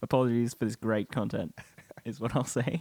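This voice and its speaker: A man with an Australian accent and a medium pitch speaks in a dry, close sound with no echo. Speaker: podcast co-host. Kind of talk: casual chat.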